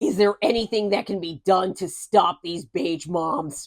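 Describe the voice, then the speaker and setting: A put-on character voice with a raspy edge, spoken at a moderate pace. Its loudness swings widely. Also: woman, medium pitch for a woman. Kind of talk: comedy podcast banter. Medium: cartoon. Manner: blunt, sarcastic.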